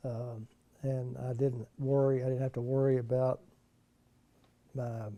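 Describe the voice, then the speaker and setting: A man speaks at a medium pitch in a somewhat breathy voice. His tone is dark and mellow. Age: 70s. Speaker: retired OB-GYN doctor. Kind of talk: oral history interview. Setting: recorded interview with mic pack. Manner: halting, many fillers.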